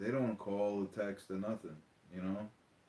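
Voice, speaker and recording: A man speaks with a Long Island accent. His voice sits fairly low and sounds animated. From New York, Long Island. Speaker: diecast hobby YouTuber. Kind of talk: casual livestream chat. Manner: animated, repetitive.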